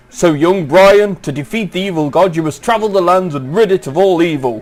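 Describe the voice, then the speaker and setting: A man is speaking. Music plays in the background. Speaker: let's play commentator. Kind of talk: reading game intro text aloud.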